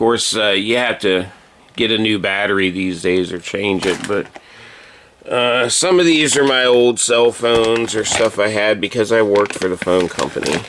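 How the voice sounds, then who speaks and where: Amid noticeable background noise, a man with a fairly low pitch speaks with ordinary pitch variation. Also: moderate pace. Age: 50s. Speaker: YouTuber showing his home and old electronics. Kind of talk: casual vlog chat. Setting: at home, kitchen table. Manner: halting, many fillers.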